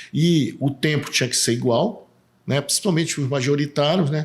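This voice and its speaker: A man speaks at a moderate pace in a somewhat breathy voice. The recording is very clean and the background silent. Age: 60s. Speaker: political candidate, civil engineer. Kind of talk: casual interview.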